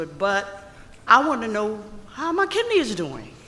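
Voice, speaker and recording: Noticeable background noise sits under speech at a fairly slow pace. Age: 70s. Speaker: audience member asking question. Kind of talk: audience question. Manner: halting.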